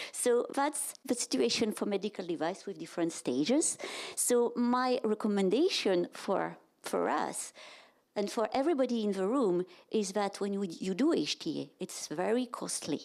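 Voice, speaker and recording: On a very clean recording with a silent background, a woman with a French accent speaks at a medium pitch and a moderate pace with lively intonation. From France. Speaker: health economics and reimbursement director. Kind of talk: conference presentation. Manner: halting.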